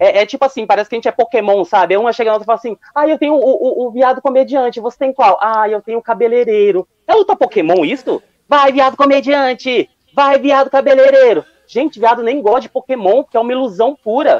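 A man talks at a very fast pace with ordinary pitch variation and an extremely high pitch. The sound is dry and close, with no echo. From Londrina, Paraná, southern Brazil. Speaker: amateur stand-up comedian. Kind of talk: stand-up.

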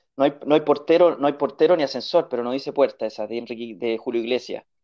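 With a Chilean accent, a man speaks fairly quickly in a fairly high voice of dark, mellow tone, with ordinary pitch variation over a quiet background. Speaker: podcast guest. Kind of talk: casual chat.

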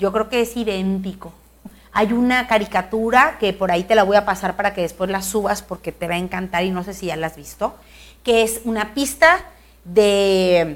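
At a moderate pace, a woman uses a medium pitch and ordinary pitch variation. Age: 40s. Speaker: politician. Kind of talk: interview.

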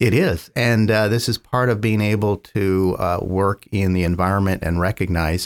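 On a very clean recording with a silent background, a man with an American accent uses an ordinary speaking voice at a fairly low pitch, with ordinary pitch variation and a moderate pace. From US West Coast, San Francisco Bay Area. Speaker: biotech company founder and scientist. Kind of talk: interview.

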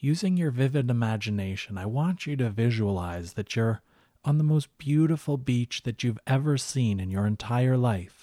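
Recorded very cleanly against a silent background with a dry, close sound and no echo, a man of medium pitch speaks at a moderate pace in a dark, mellow tone with lively intonation. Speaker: hypnotherapist and relaxation guide. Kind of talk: guided relaxation with hypnotic induction.

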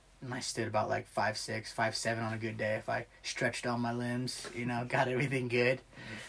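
In a Midwestern American accent, a man speaks at a fairly quick pace with monotone, flat intonation. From US Midwest, small-town Ohio. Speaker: Marine Corps veteran. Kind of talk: casual chat.

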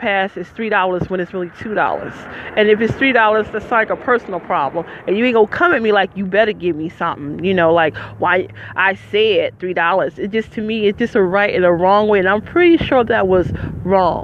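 Noticeable background noise sits behind a woman speaking at medium pitch and a fairly quick pace with ordinary pitch variation. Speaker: podcaster, formerly homeless. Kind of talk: casual monologue. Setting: outdoors at a bus stop.

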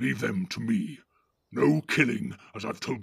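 In a quiet setting, a voice reads text aloud naturally.

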